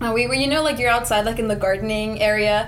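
A woman's fairly high voice races along very fast amid noticeable background noise. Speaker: college student. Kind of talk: casual group discussion.

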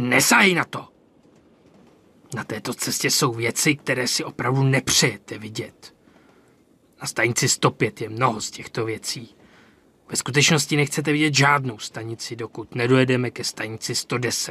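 Using a put-on character voice at medium pitch, a man speaks with long, frequent pauses. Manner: stern, threatening.

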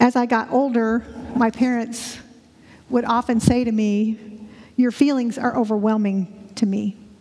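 Amid noticeable background noise, the speaker talks at a fairly slow pace with monotone, flat intonation and long, frequent pauses. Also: woman, fairly high pitch for a woman. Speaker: church member sharing personal story. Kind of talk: testimony. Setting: church. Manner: halting.

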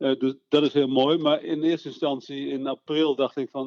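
A man with a normal speaking voice, fairly high-pitched for a man, at a moderate pace with fairly even intonation. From Netherlands, Veluwe (Eerbeek). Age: 60s. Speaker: local politician. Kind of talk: interview. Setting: phone call.

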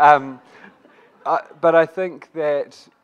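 Against a quiet background, a man speaks with a New Zealand accent. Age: young. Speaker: youth advocacy group representative. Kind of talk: panel discussion. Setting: stage with audience.

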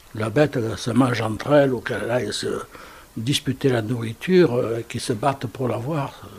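A man speaks at medium pitch. Noticeable background noise can be heard. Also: ordinary pitch variation, moderate pace. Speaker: former Resistance fighter. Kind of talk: interview. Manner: halting.

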